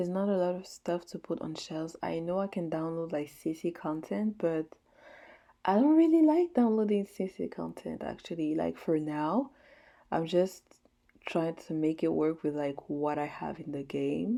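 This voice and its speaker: A woman with a French accent speaks at a moderate pace in a dark, mellow tone, her fairly low pitch showing ordinary variation against a quiet background. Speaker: gaming YouTuber. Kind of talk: casual gameplay voice-over. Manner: filler-heavy, casual.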